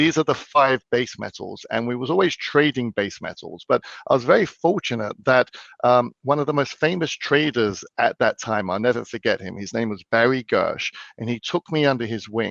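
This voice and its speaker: Lively in intonation, a man with an English accent talks at a moderate pace and medium pitch. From London, England. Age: 40s. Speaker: financial expert. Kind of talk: interview. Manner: hesitant, repeats words.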